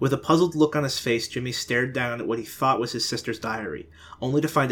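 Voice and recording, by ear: The reading aloud is in a natural voice, and its pitch varies in an ordinary way.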